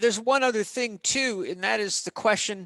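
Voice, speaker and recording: Raised and projected, this man's voice has a bright, sharp tone, ordinary pitch variation and a fairly slow pace, with dry, close sound, no echo and a quiet background. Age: 50s. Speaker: holistic health and exercise expert. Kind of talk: podcast interview. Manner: animated.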